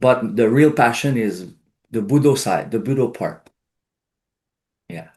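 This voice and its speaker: Speaking with a Quebec accent at a fairly slow pace, a man with a medium-pitched voice uses lively intonation and big swings in loudness, leaving long, frequent pauses against a quiet background. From Quebec, Outaouais region. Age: 60s. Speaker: karate instructor. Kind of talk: interview.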